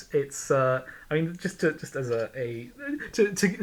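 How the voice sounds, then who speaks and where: A somewhat breathy male voice. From Ireland. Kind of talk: casual discussion. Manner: halting, many repetitions.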